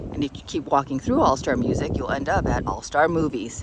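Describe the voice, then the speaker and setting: A woman's fairly quick delivery comes through against noticeable background noise. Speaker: travel vlogger. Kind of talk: room tour narration. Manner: casual, chatty.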